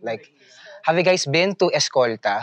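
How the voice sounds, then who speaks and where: A man speaks in a Filipino accent at a moderate pace. His intonation is lively. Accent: Filipino English, Taglish code-switching. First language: Tagalog. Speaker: heritage tour guide. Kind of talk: outdoor walking tour talk. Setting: outdoors. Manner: playful, jokey with the group.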